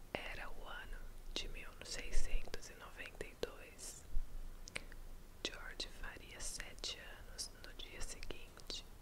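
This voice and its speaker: Whispering in a calm tone at a very slow pace, with long, frequent pauses. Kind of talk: whispered bedtime story reading. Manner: whispered, soft, calm.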